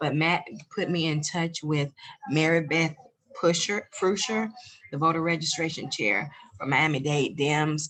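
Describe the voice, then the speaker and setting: Speaking at a fairly slow pace with long, frequent pauses, a woman uses a very deep, low voice and ordinary pitch variation in a Southern US accent. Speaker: volunteer voter registration chair. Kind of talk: meeting report.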